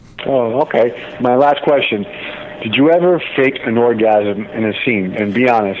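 A man at medium pitch and moderate pace, lively in intonation, with noticeable background noise. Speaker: caller. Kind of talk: casual chat. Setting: phone call.

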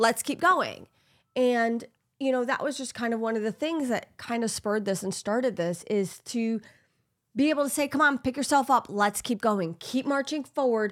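In a very clean recording over a silent background, a woman speaks at a fairly high pitch with ordinary pitch variation, an ordinary speaking voice. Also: moderate pace. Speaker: podcast host. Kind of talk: casual chat.

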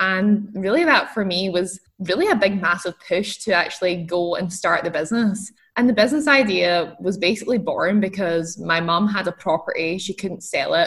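A woman speaks with a Scottish accent at a medium pitch. Her pace is moderate, with hardly any pauses. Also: ordinary pitch variation. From Scotland. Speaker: entrepreneur. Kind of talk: interview.

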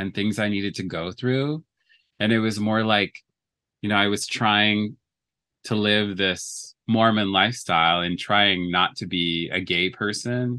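A man speaks fairly slowly with a Canadian accent, his fairly low voice bright and sharp in tone. His intonation stays fairly even against a quiet background. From Canada, Edmonton, Alberta. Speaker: podcast guest. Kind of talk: casual chat.

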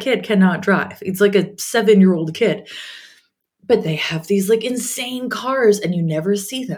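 Animated and somewhat breathy, a woman with a Canadian accent speaks at a medium pitch and a fairly slow pace. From Canada. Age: 40s. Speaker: podcast host, confidence coach. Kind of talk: casual solo podcast monologue.

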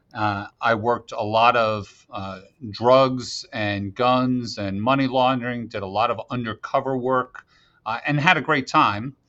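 A man talks at a fairly slow pace in a plain, everyday voice, medium in pitch with ordinary pitch variation. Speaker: FBI special agent in charge. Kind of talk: interview.

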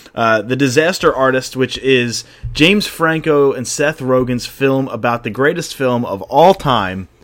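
Noticeable background noise sits behind the voice, which has ordinary pitch variation. The pace is fairly slow, with hardly any pauses. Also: man, medium pitch for a man. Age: 20s. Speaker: podcast host. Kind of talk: casual chat.

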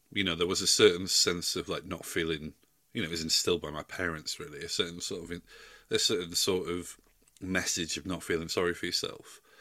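A man speaks with a Yorkshire accent. His pace is fairly quick. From South Yorkshire, England. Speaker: music journalist and podcaster. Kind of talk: casual chat.

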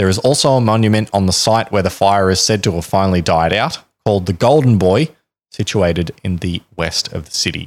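On a very clean recording with a silent background, a man talks in a normal speaking voice with a fairly low pitch. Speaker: podcast host. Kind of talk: scripted-style storytelling narration with casual banter.

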